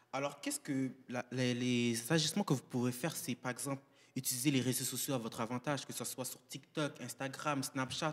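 A man talks at a fairly quick pace with medium pitch and fairly even intonation. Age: young. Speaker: anti-racism movement representative. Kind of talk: panel discussion. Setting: live panel at a community centre. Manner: formal. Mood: earnest, persuasive. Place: hall. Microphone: handheld.

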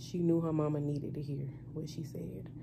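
A woman's dark, mellow, somewhat breathy voice at a moderate pace, with light background noise. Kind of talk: casual vlog chat. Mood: relaxed, slightly nervous. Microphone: phone near.

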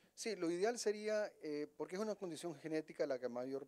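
Against a quiet background, a man talks at a fairly quick pace in a dark, mellow tone with ordinary pitch variation. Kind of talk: interview answer. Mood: calm, explanatory. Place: office. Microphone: handheld.

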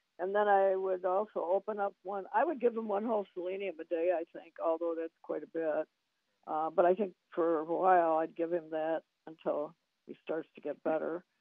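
A woman's plain, everyday voice, fairly low in pitch, with fairly even intonation, a moderate pace and big swings in loudness. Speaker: supplement business associate. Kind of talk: radio advice conversation.

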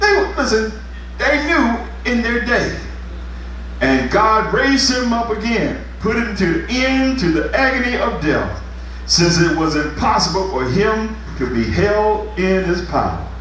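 There's audible room echo and light background noise as a man talks at a fairly slow pace. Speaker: pastor. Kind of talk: revival sermon, fervent call-and-response exhortation to congregation. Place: church. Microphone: camera far.

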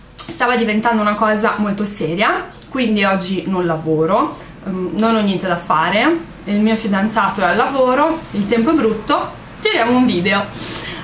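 A woman speaks at a moderate pace. Light background noise and audible room echo surround her voice. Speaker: beauty vlogger. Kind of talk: casual vlog chat. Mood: relaxed, chatty. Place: home room. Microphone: webcam.

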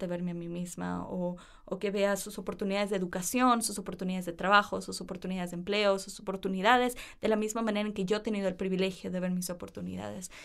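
A woman speaks fairly quickly at a medium pitch. She has an ordinary speaking voice. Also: very clean recording, silent background. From Ecuador (Cuenca, Guayaquil, Quevedo, Quito). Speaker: university student. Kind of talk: interview. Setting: studio.

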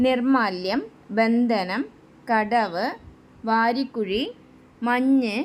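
In a plain, everyday voice, a woman speaks with a fairly high pitch and ordinary pitch variation. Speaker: YouTube quiz and exam-prep presenter. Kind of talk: quiz-style tutorial.

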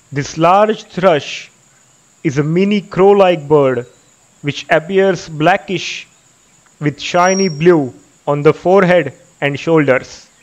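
At a very slow pace with long, frequent pauses, a man with an Indian accent speaks in a gentle tone, his high pitch showing ordinary variation. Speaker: nature documentary filmmaker and narrator. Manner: measured, even-paced and formal, with gentle enthusiasm.

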